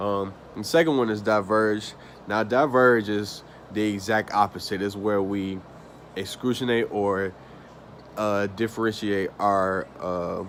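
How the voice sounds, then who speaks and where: A man with an American accent speaks at a fairly slow pace. His fairly low voice keeps a fairly even intonation. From US South (Atlanta, Georgia). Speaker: student. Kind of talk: class presentation. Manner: casual, with fillers.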